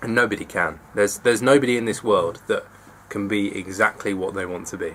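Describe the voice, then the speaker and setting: In an English accent, a man speaks at a fairly quick pace. His voice is fairly low-pitched, with fairly even intonation. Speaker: vlogger. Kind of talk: personal confessional vlog. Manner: fast; halting.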